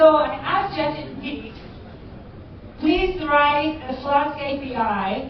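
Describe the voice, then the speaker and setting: Speaking at a very slow pace with ordinary pitch variation, a woman is heard with audible room echo and noticeable background noise. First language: not English. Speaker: cybersecurity educator. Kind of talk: conference talk. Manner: halting.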